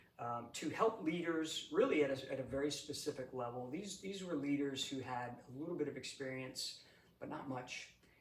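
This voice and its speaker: A man with a New England accent speaks at a fairly high pitch, somewhat breathy, at a moderate pace. His pitch varies in an ordinary way, and the room echo is audible. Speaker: executive coach, retired Air Force leader. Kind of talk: interview. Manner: halting, many fillers and repeats.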